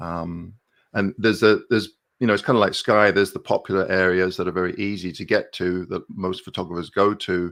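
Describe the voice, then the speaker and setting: A man talks at a fairly quick pace with a slight English accent. His fairly low voice keeps a fairly even intonation against a quiet background. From southern England, Milton Keynes. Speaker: landscape photographer and YouTuber. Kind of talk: casual interview on a live stream. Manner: hesitant, many fillers.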